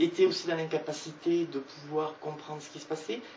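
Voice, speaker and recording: A woman with a very deep, low pitch talks at a fairly slow pace. Audible room echo and noticeable background noise surround her voice. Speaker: author presenting her book. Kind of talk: book talk with audience. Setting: bookshop event with audience.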